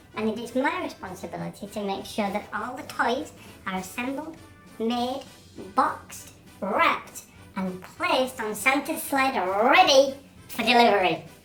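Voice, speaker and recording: Over faint music in the background, a female-sounding voice does a put-on character at a moderate pace, pitched high for a woman. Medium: short film. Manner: cheerful, chatty.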